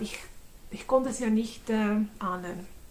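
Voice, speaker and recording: A woman with a Swiss German accent, fairly high in pitch, with ordinary pitch variation. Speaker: convert giving testimony. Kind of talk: testimony. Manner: halting, many fillers.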